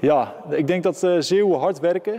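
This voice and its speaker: A man talks with noticeable background noise present in the recording. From Netherlands, Zeeland (Middelburg). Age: 20s. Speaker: boxer. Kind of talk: interview. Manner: hesitant, many filler sounds.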